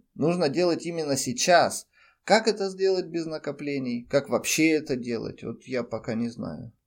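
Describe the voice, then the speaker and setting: On a very clean recording with a silent background, a man speaks. His fairly high voice swings very widely in pitch. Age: 30s. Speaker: podcaster and freelance web specialist. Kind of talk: personal monologue.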